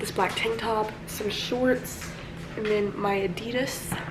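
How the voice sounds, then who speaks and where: A woman with a fairly high pitch speaks quietly, with ordinary pitch variation. Noticeable background noise and audible room echo are present. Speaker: lifestyle vlogger. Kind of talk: casual vlog. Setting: in a car.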